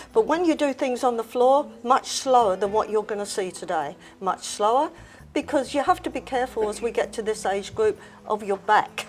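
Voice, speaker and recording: A woman talks at a moderate pace. Her pitch is fairly high and her intonation lively. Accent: Australian. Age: 80s+. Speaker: fitness instructor. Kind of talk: interview answer.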